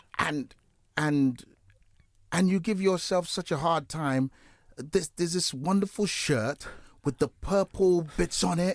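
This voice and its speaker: A man with a British accent speaks at a fairly slow pace and a high pitch, with ordinary pitch variation and long, frequent pauses. The recording is very clean, with a silent background and a dry, close sound with no echo. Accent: UK. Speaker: gospel radio host. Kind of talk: interview. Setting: studio.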